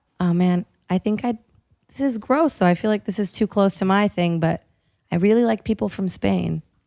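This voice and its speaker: A woman's voice with a dark, mellow tone, recorded dry and close without any echo. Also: medium pitch for a woman, ordinary pitch variation, moderate pace. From Brazil. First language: Portuguese. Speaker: comedian. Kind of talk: casual chat.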